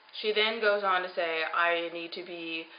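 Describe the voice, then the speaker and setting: Her medium pitch moving with ordinary variation, a woman is speaking. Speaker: vlogger on weight loss surgery journey. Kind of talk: personal video diary. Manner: fast.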